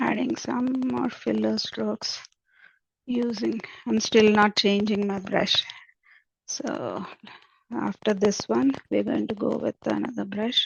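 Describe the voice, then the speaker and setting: A woman speaks at a very slow pace with long, frequent pauses. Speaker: painting instructor. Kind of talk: tutorial. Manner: halting.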